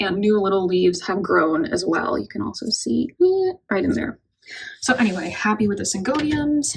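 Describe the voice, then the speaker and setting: A woman speaks in a somewhat breathy voice. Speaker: houseplant youtuber. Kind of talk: casual plant update vlog.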